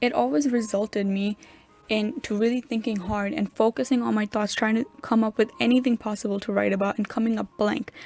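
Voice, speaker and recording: A woman talks fairly quickly in a fairly high voice. Her pitch varies in an ordinary way. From New York. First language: Urdu. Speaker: college student. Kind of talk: scripted narration.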